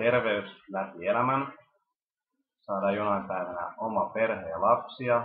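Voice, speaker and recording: Speaking at a very slow pace, the man has a medium pitch and ordinary pitch variation. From Finland, Helsinki. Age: 20s. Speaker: university student. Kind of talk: self-introduction video.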